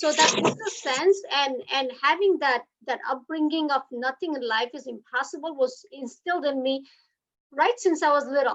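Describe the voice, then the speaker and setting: In a Gujarati accent, the speaker moves at a moderate pace with lively intonation. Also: woman. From India, Gujarat (Surat). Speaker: hotelier and business leader. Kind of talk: speech at online book launch. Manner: halting, many fillers.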